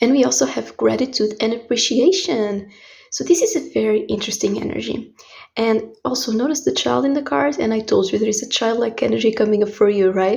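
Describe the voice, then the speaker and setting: A woman with a Portuguese accent at a fairly quick pace. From Portugal. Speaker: tarot reader. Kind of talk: tarot reading.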